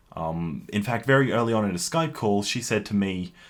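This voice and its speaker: Talking at a moderate pace with an Australian accent, a man keeps a fairly low pitch and lively intonation. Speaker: YouTuber. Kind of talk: personal response video. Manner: halting.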